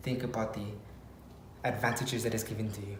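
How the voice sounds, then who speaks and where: A quiet man amid audible room echo and noticeable background noise. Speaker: fitness coach and motivational vlogger. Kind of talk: motivational vlog talk. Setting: garage at home.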